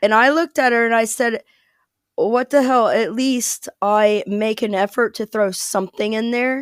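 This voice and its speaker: The recording is very clean with a silent background, as the speaker talks at a moderate pace with an American accent and fairly even intonation. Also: woman, fairly high pitch for a woman, dry, close sound with no echo. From US Midwest, small town in Ohio near Cincinnati. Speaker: American expat. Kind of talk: casual interview chat.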